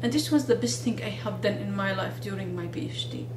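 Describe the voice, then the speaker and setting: Someone talks at a moderate pace over noticeable background noise. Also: woman. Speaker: video blogger and researcher. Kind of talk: monologue video talk with advice. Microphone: phone near.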